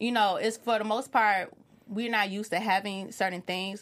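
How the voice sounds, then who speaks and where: With an American accent and an unremarkable speaking voice, a woman talks at a fairly quick pace and medium pitch, her intonation fairly even. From Chicago, US. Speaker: TV recap panelist. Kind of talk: casual panel discussion.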